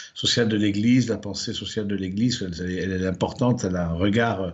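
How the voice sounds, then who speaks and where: Fairly brisk speech from a man, with room echo clearly audible. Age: 60s. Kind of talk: lecture. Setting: livestreamed conference. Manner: hesitant, many fillers and repetitions.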